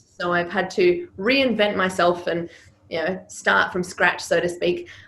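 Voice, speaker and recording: A woman with a slight Serbian accent talks at a fairly slow pace in a medium pitch, her intonation fairly even. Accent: slight Serbian accent in Australian English. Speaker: public speaking coach. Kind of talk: interview.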